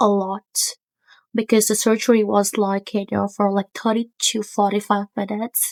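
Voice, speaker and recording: Speaking fairly slowly with a non-native accent, a woman uses a fairly high pitch and fairly even intonation in a dry, close sound with no echo. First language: not English. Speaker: stray animal rescuer. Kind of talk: casual talk to camera. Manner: hesitant, many fillers.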